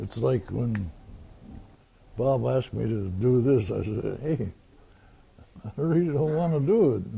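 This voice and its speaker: A man talks fairly slowly at medium pitch, his voice somewhat breathy. His intonation is lively, with long, frequent pauses. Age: 90s. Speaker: war veteran. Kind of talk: oral history interview. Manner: plain-spoken, halting.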